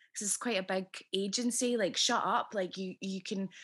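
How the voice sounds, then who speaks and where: A woman speaks with a Scottish accent on a very clean recording with a silent background. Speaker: podcast host and actress. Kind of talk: casual interview chat. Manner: warm and chatty.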